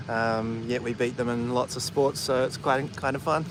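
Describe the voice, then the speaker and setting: The speaker has a New Zealand accent and fairly even intonation, with noticeable background noise in the recording. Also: man. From New Zealand, Auckland. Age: 30s. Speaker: vlogger. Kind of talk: casual chat. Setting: outdoors.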